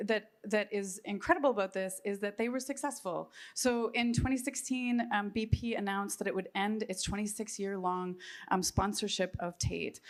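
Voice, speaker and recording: A woman's fairly high voice carries ordinary pitch variation. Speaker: panel presenter on art and ecology. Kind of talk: conference presentation. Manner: fast; hesitant, many filler ums.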